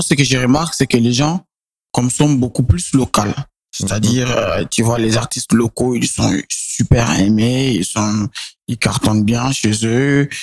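A man with a normal speaking voice talks at a medium pitch and fairly slow pace, with ordinary pitch variation, in a dry, close sound with no echo. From Niger, Niamey. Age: 20s. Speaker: singer and songwriter. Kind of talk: interview.

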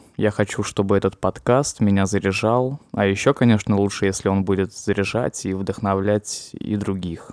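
In a dry, close sound with no echo and a silent background, a man speaks at a moderate pace with hardly any pauses. His is an unremarkable speaking voice, fairly low in pitch with fairly even intonation. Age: 20s. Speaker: podcaster. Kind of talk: personal monologue.

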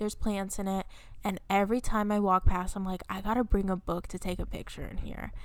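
Soft-spoken, fairly quick delivery in a monotone, flat intonation. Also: woman, medium pitch for a woman. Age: 20s. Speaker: book podcast co-host. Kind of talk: casual chat. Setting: video call.

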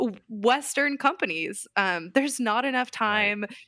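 Very clean and silent in the background, the recording is dry and close with no echo, carrying a bright, sharp voice with an American accent, a moderate pace and ordinary pitch variation. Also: woman. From US West Coast (Southern California). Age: 30s. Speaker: Enneagram coach and consultant. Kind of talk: casual interview.

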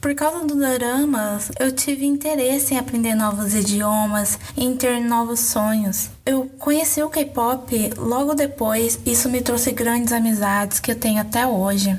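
Over background music, a woman with a high voice speaks at a fairly slow pace, with hardly any pauses, very even loudness and ordinary pitch variation. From Brazil. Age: 20s. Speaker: listener sharing story. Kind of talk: testimony.

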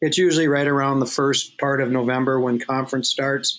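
In a Minnesotan accent, a man talks at a moderate pace with a fairly high pitch. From Minnesota, Twin Cities suburb. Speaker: college hockey coach. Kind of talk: casual interview.

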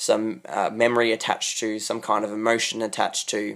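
In a very clean recording with a silent background, a man with an Australian accent talks at a fairly quick pace. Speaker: podcast host. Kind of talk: solo monologue. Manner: hesitant, many fillers.

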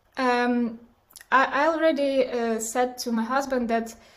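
Speaking very slowly, a woman with a Ukrainian accent talks in a high voice. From Ukraine, Kyiv. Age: 20s. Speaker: war refugee. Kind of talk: interview testimony. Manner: halting.

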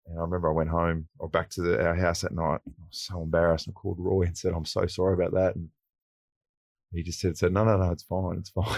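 Against a quiet background, a man with an Australian accent speaks at a very fast pace. His pitch is very deep and low, his intonation monotone and flat. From country New South Wales, Australia (Wagga Wagga). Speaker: former footballer and TV presenter. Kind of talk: casual interview. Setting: radio studio.

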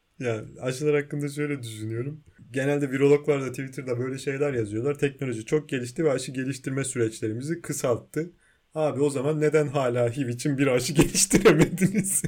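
With ordinary pitch variation, a man speaks at a fairly quick pace and a fairly high pitch. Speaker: podcast co-host. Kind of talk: casual chat. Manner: animated, frequent laughter.

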